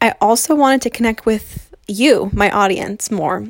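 A woman with an unremarkable speaking voice talks at a moderate pace, her pitch fairly high and ordinary in its variation. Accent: American. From New Jersey, US. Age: 20s. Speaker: podcast host, blogger. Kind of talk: casual solo monologue. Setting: home recording in bedroom. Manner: free-flowing, many fillers.

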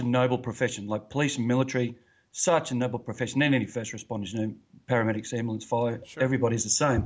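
With an Australian accent, a man of medium pitch speaks at a very fast pace. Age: 40s. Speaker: retired police officer, podcast host. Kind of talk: interview, personal testimony. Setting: remote call, early morning for him.

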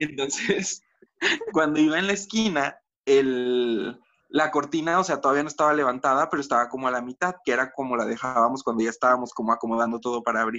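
A Mexican accent at a fairly quick pace with ordinary pitch variation. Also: man, medium pitch for a man. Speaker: podcast co-host. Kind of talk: casual chat. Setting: video call.

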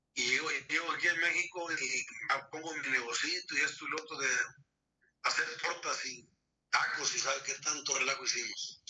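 The man keeps a moderate pace but stops often for long pauses. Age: 60s. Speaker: grandfather of the host. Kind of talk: life story interview.

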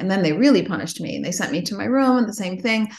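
A woman talks at a very fast pace in an American accent. Her pitch varies in an ordinary way, and the room echo is audible. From Chicago. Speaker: investment fund CEO. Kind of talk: casual interview.

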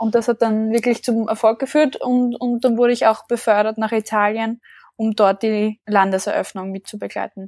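In a dry, close sound with no echo, a woman speaks at a fairly high pitch and moderate pace, in a monotone with flat intonation. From Austria (small village). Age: 20s. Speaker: leadership coach and founder. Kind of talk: interview.

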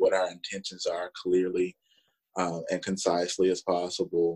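The sound is close and dry, with no echo. A man talks in a Southern US accent. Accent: Southern US drawl. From Alabama, US South. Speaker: assistant professor. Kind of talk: casual interview conversation. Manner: talkative.

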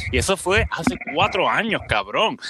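A man speaks in a bright, sharp tone, with a dry, close sound and no echo. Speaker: podcast co-host. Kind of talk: casual chat.

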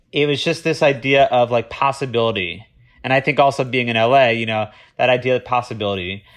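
A man with an American accent speaks at a very fast pace. His medium pitch shows ordinary variation. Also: quiet background. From Florida. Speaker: TV development executive. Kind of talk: interview.

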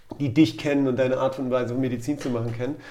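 Very fast speech from a man with a dark, mellow tone. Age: 40s. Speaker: doctor, orthopedic surgeon. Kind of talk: casual chat.

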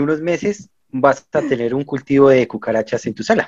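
Fairly high-pitched male voice with a dark, mellow tone. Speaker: podcast host. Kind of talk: scripted narration; interview.

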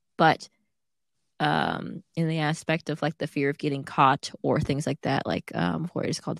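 In a very clean recording with a silent background and a dry, close sound with no echo, a woman with a very deep, low pitch and vocal fry talks at a moderate pace. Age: 20s. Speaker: podcast co-host. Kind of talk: casual chat.

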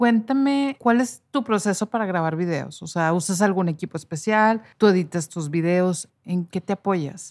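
A woman with a plain, everyday voice at medium pitch talks fairly slowly with lively intonation and hardly any pauses, in a very clean recording with a silent background and a dry, close sound with no echo. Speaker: hairstylist and podcast host. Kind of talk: casual chat.

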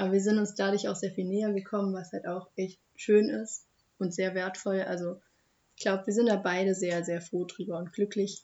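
A woman's medium-pitched voice in a flat monotone. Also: moderate pace. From Germany, Hochheim am Main (Hesse). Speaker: young local podcast guest. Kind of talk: casual chat.

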